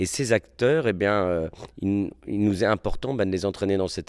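A man with a plain, everyday voice, fairly low-pitched, at a moderate pace, with a dry sound with no echo and a quiet background. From Réunion. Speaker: theatre director and actor; actor. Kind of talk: interview. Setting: theatre. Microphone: handheld.

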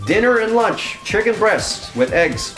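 A man talking at a fairly quick pace over clear background music. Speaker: YouTuber. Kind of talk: casual vlog chat. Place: kitchen. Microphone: phone near.

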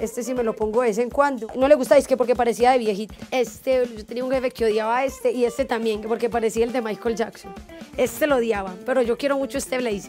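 In a strong Paisa accent, a woman speaks at a very fast pace with a high pitch and fairly even intonation, over faint music in the background. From Antioquia, Colombia. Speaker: TV news presenter. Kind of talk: interview answer.

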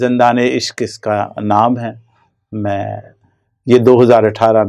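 Over a quiet background, a man talks at a medium pitch with a dark, mellow tone. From Pakistani Punjab, village near Sahiwal; Punjab, Pakistan. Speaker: poet and pastor; poet, pastor. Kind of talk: interview. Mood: calm, reflective about poetry. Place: studio. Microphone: lapel.

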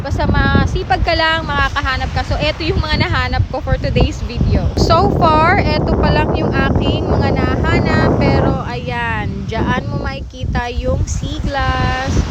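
A woman speaks at a fairly slow pace in an animated tone. Noticeable background noise and audible room echo fill the recording. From Philippines. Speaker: vlogger. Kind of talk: casual vlog narration. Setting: outdoors on a beach.

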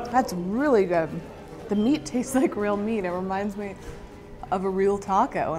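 A woman's voice with clear music in the background. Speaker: food reviewer. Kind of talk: casual vlog chat. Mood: enthusiastic. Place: cafe. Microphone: phone near.

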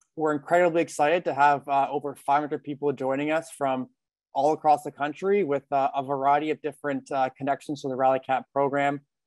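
In a dry sound with no echo and a quiet background, a man speaks at a fairly quick pace with monotone, flat intonation. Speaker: program partner host. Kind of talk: webinar welcome address. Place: home room. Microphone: video call.

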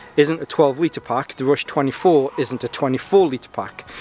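A man at a fairly slow pace with ordinary pitch variation, dry sound with no echo, and faint music in the background. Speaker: gear reviewer. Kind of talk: product review vlog. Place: forest.

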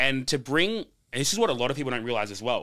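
A man with an Australian accent at a very fast pace against a quiet background. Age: 20s. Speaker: powerlifter and gym owner; podcast guest. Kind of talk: casual chat. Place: studio. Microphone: studio mic.

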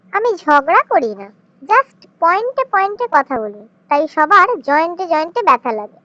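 A female-sounding cartoonish character voice with an extremely high pitch and very wide pitch swings speaks at a moderate pace. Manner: sharp, scolding.

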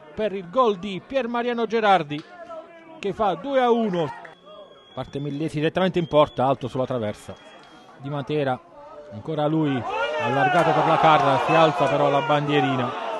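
A man speaks with very wide pitch swings over noticeable background noise. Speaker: football commentator. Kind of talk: live sports commentary. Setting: stadium.

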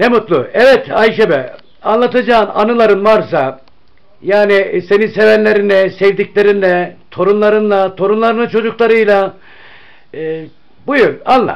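A man speaks at a fairly slow pace. His pitch is high, with ordinary pitch variation. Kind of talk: village interview.

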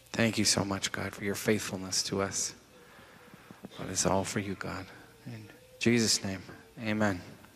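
A man at a fairly low pitch, with fairly even intonation and a moderate pace, over light background noise. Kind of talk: spoken prayer. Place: church. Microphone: studio mic.

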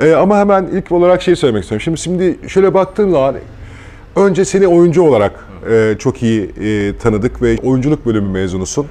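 With a fairly high pitch, a man's voice makes very wide pitch swings. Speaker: local TV interviewer. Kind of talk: casual chat. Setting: café or bar. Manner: hesitant, many filler sounds. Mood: relaxed, friendly. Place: cafe.

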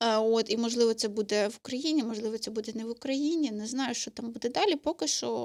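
A plain, everyday voice moves at a fairly quick pace with ordinary pitch variation, recorded with a dry, close sound and no echo. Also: woman. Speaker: vlogger. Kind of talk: casual chat. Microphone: studio microphone.

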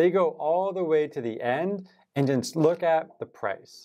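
With lively intonation, a man speaks at a moderate pace over a quiet background. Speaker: sales trainer. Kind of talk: tutorial. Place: studio.

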